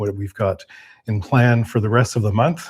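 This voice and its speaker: Somewhat breathy and medium in pitch, a man keeps fairly even intonation on a very clean recording with a silent background. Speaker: off-grid cabin and beekeeping youtuber. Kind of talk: casual livestream chat. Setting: indoor livestream. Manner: halting, many fillers.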